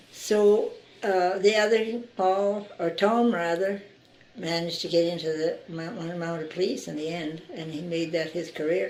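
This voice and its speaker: In a room with audible echo, a woman speaks fairly slowly at a medium pitch, her tone dark and mellow and her intonation fairly even. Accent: Canadian. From Saskatchewan, Canada. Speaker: local resident interviewee. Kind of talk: oral history interview. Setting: interviewee's home.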